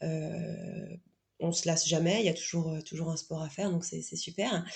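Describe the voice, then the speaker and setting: This woman's fairly low voice has a dark, mellow tone, is somewhat breathy, and moves at a moderate pace. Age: 30s. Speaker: guest sharing pregnancy and sport experience. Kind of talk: podcast interview testimony. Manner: halting, many fillers and repetitions.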